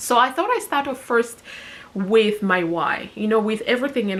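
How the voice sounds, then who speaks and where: Her pitch rises and falls in an ordinary way. The speaker is a woman. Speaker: personal finance vlogger. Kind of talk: casual vlog talking to camera. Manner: mumbling.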